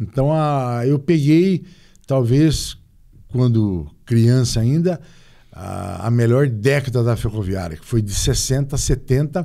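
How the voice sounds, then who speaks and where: A man with medium pitch talks at a very slow pace. His voice has a dark, mellow tone and lively intonation. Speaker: former football club president. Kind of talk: interview.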